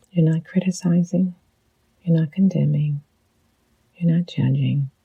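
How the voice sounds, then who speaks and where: A woman speaks at a fairly slow pace in a gentle tone. The sound is dry and close, with no echo. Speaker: psychologist and leadership coach. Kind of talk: guided reflection. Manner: gentle, slow.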